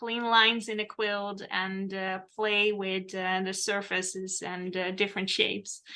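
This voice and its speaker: A woman with a Dutch accent and a medium pitch, very slow and flat in a monotone, her tone bright and sharp, on a very clean recording with a silent background. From Netherlands. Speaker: quilt pattern designer. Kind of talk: casual interview chat.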